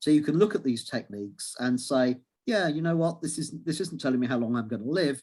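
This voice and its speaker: In an English accent, a man with a fairly high pitch speaks at a fairly quick pace with lively intonation. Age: 60s. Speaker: astrology lecturer and author. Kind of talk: interview. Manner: halting.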